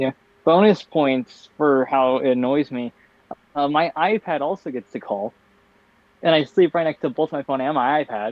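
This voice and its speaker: A man's fairly high voice at a moderate pace, with ordinary pitch variation and long, frequent pauses. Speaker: podcast co-host. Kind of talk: casual chat. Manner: low energy, tired delivery.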